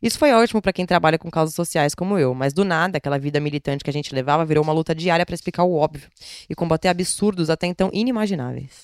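This woman talks at a very fast pace with a fairly low pitch and ordinary pitch variation, her voice sounding dry and close with no echo. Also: very clean recording, silent background. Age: 20s. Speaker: podcast host, feminist blogger. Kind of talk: reading aloud a personal essay. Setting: at home in quarantine.

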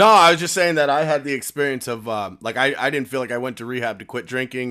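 With an American accent, a man talks at a fairly quick pace in a medium pitch, using ordinary pitch variation and a bright, sharp tone. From upstate New York. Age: 30s. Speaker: podcast host, person in recovery. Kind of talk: casual chat. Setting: video call.

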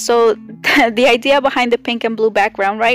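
With a non-native accent, a woman speaks at a fairly high pitch and with fairly even intonation. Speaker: podcast host and artist. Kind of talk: casual solo monologue. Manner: loud.

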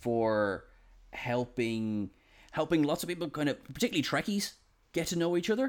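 With an Irish accent, a man speaks at a moderate pace and ordinary pitch variation in a very clean recording with a silent background. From Ireland. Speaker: podcast host. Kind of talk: casual chat. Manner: halting.

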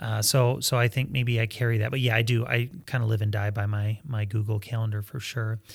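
With an American accent, a somewhat breathy man talks at a fairly quick pace with hardly any pauses, his medium pitch held in monotone, flat intonation. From Michigan, US. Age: 40s. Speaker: pastor. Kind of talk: casual chat.

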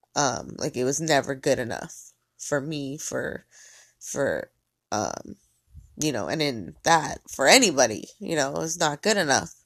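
With vocal fry and ordinary pitch variation, a woman speaks in a very deep, low pitch. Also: fairly slow pace. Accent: American. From US (Mexican American). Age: 30s. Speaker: podcaster. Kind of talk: solo monologue. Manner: casual, rambling with fillers.

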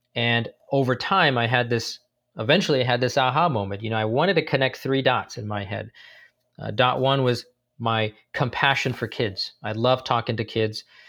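Speaking in an American accent, a man has a medium pitch and a bright, sharp tone. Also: ordinary pitch variation, moderate pace, very clean recording, silent background. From San Francisco Bay Area, US. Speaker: tech company founder, navy veteran and former engineer. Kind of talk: interview.

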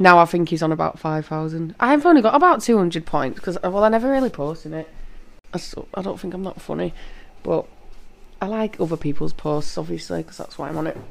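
In a Yorkshire accent, a woman talks at a fairly quick pace with a fairly low pitch, lively intonation and big swings in loudness. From Leeds, northern England. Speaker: podcast co-host. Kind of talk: casual chat between a couple.

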